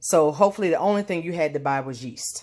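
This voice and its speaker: The speech comes at a very fast pace with vocal fry throughout. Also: woman. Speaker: home baker. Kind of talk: cooking tutorial. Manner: casual with fillers.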